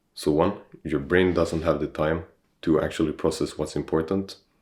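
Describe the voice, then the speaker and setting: Recorded very cleanly against a silent background, a man speaks with vocal fry at a very deep, low pitch. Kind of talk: casual talk to camera. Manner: slow-paced.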